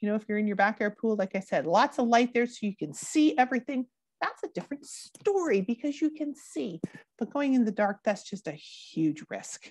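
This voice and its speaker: A woman's fairly high voice in a Canadian accent, with very wide pitch swings at a moderate pace, dry with no echo over a quiet background. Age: 40s. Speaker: drowning prevention educator. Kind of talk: educational presentation. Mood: warm, upbeat. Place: home room. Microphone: earbuds.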